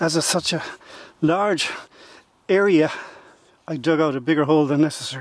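A man speaks fairly quickly with fairly even intonation and long, frequent pauses, the sound dry with no echo. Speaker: metal detecting video maker. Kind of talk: outdoor demonstration tutorial. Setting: outdoors. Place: open country. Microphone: camera far.

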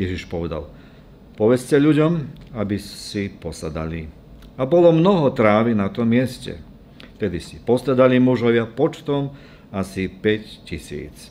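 A man speaks at a fairly slow pace, with very wide pitch swings and big swings in loudness. Long, frequent pauses break up his speech, with light background noise behind him. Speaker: preacher. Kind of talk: scripture reading in a sermon. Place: church. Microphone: podium.

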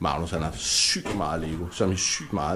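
A man speaks with a somewhat breathy voice. His pace is moderate. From Denmark. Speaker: vlogger and YouTube channel host. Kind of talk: casual vlog chat. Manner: relaxed, chatty. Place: home room. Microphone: phone near.

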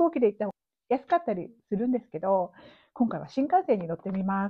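A woman's pitch swings very widely as she speaks. Her background is quiet. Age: 50s. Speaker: yoga teacher and travel vlogger; yoga teacher, travel vlogger. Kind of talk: casual monologue vlog; casual vlog chat, storytelling. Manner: animated; many filler words. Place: home room. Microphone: lapel.

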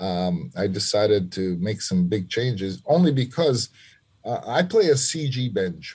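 Speaking at a fairly slow pace with an American accent, the voice swings very widely in pitch, somewhat breathy and dark and mellow in tone, over a quiet background. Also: man, fairly low pitch for a man. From New York City (Lower East Side, Manhattan); New York City. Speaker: trumpet player; podcast guest. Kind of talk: interview conversation. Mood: reflective, earnest. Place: home room. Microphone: video call.

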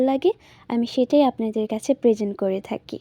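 High-pitched female voice with a dark, mellow tone and ordinary pitch variation, dry and close with no echo. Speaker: vlogger. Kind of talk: vlog voiceover narration.

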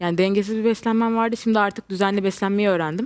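A woman uses a normal speaking voice at a medium pitch with fairly even intonation. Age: 20s. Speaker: weight-loss patient. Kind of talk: TV interview.

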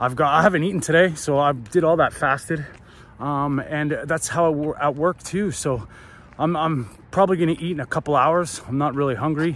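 At a moderate pace, a man with a fairly high pitch talks with ordinary pitch variation, the sound dry with no echo. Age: 40s. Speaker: fitness vlogger. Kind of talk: casual vlog narration. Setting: outdoors at a running track. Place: stadium. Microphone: phone near.

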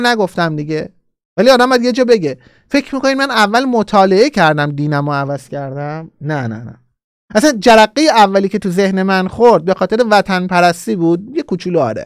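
A man speaks at a fairly quick pace in a high voice, his animated tone swinging very widely in pitch, with a dry, echo-free sound over a quiet background. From Iran. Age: 40s. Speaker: political YouTuber. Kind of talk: live-streamed political commentary. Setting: live stream. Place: studio. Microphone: studio mic.

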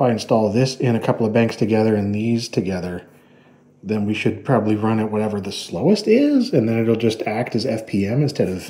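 This is a man's voice at a fairly low pitch. The tone is dark and mellow. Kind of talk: casual tech vlog commentary. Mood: relaxed, curious. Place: home room.

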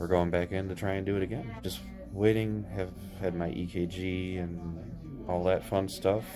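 This man's voice sits very deep and low, with ordinary pitch variation. He speaks at a moderate pace over clear music in the background. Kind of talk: casual vlog chat. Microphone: phone near.

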